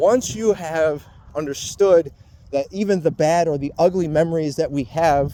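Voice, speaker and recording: A man's high voice at a fairly slow pace, with ordinary pitch variation and long, frequent pauses. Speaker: vlogger. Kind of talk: personal monologue. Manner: halting.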